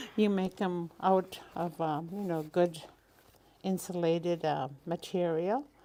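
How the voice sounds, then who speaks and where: A woman speaks at a very slow pace in a fairly low pitch. Her tone is dark and mellow, with fairly even intonation. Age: old. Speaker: elder and craftswoman. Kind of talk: casual interview.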